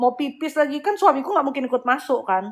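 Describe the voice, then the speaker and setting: A woman with lively intonation. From Bali, Indonesia. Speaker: spiritual healer and live-stream host. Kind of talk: casual live-stream chat. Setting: live stream. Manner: animated.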